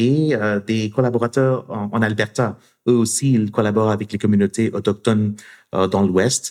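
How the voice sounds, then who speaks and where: Fairly slow and fairly even in intonation, a man speaks with a non-native accent. His pitch is fairly low. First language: not French (speaking French). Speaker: university professor and researcher. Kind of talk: interview conversation. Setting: studio in Montreal. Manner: halting with frequent repetitions.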